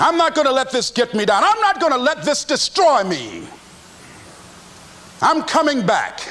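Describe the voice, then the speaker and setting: Amid noticeable background noise, a man with an American accent uses a raised, projected voice at an extremely high pitch with very wide pitch swings. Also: moderate pace. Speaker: motivational speaker. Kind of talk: motivational speech.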